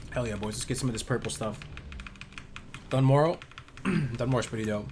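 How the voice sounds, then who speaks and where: A man of medium pitch speaks at a fairly quick pace with fairly even intonation, with audible room echo and noticeable background noise. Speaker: video game streamer. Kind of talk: live gameplay stream chat. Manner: casual, hesitant with fillers.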